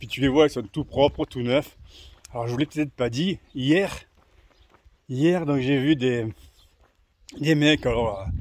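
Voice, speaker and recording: Talking at a very slow pace with long, frequent pauses, a man uses a fairly high pitch and ordinary pitch variation. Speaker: pilgrim vlogger. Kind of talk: walking vlog monologue. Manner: casual, hesitant with fillers.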